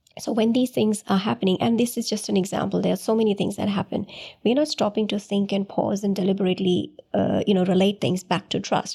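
Very fast speech from a woman with a medium pitch, a dark, mellow tone, vocal fry, very even loudness and ordinary pitch variation. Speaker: counselor. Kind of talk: casual interview chat. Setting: studio. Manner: calm, soft-spoken.

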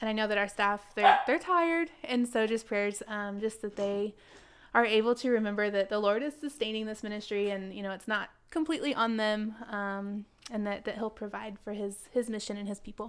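Here a woman talks at a moderate pace with a fairly high pitch and ordinary pitch variation, in a plain, everyday voice. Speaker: missionary. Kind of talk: casual chat.

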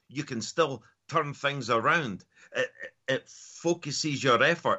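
With a Scottish accent, this man talks at a moderate pace in a fairly high pitch. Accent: Scottish (Edinburgh area). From Scotland, near Edinburgh. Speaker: mindset and performance coach. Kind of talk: interview.

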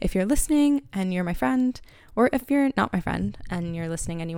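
In a very clean recording with a silent background, a woman with an American accent speaks fairly quickly at medium pitch, her pitch swinging very widely. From Pennsylvania, US (Harrisburg). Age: 20s. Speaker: podcast host. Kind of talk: solo podcast monologue. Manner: casual, rambling with many fillers.

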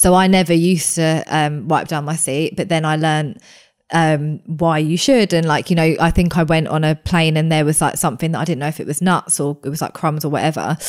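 A woman speaks with a very deep, low pitch. Her intonation stays fairly even. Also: fairly quick pace. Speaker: allergy content creator. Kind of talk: casual interview chat. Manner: calm.

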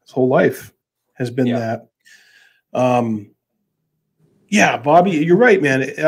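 A man with an American accent talks at a very slow pace and a medium pitch. His intonation is lively, broken by long, frequent pauses. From Massachusetts. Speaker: podcast host. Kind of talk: casual chat.

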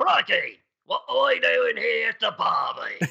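In a put-on character voice, a man talks at moderate speed with an extremely high pitch.

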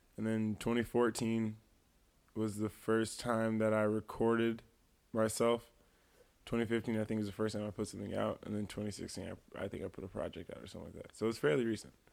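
On a very clean recording with a silent background, a man with an American accent keeps a fairly even intonation while his loudness swings widely. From US Midwest, Quad Cities (East Moline, Illinois). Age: 20s. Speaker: musician. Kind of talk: casual chat.

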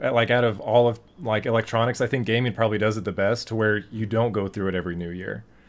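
Talking at a very fast pace, this man has a medium-pitched voice. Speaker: podcast host. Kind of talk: casual chat.

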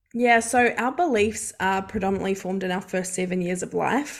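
A woman speaks with a New Zealand accent, medium pitch and fairly even intonation. The recording is very clean, with a silent background. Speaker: mindset coach. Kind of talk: casual interview chat.

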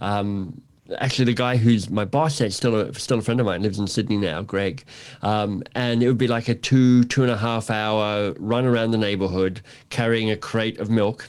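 Over a very clean recording with a silent background, a man with an Australian accent speaks at medium pitch with fairly even intonation. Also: moderate pace. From Australia, Canberra. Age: 50s. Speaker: author and coach. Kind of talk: casual interview.

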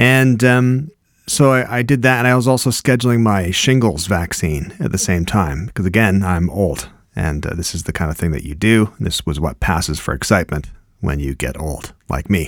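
Here a man speaks at a moderate pace in a fairly low voice. His pitch swings very widely. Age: 50s. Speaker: podcast host. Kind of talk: casual chat.

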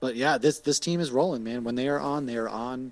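A man with an American accent, medium pitch and an unremarkable speaking voice, at a fairly quick pace. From Massachusetts. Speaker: podcaster, sports talk guest. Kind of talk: casual sports chat.

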